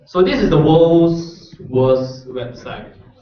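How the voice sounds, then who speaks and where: A man's voice with audible room echo. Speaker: workshop instructor. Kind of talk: tutorial.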